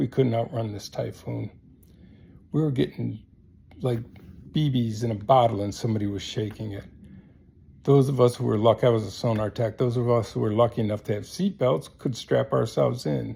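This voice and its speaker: A man with an American accent speaks at a fairly quick pace but with long, frequent pauses. His medium-pitched voice is somewhat breathy and dark, mellow in tone, with ordinary pitch variation. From US small town. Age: 70s. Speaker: military veteran. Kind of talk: casual monologue. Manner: halting.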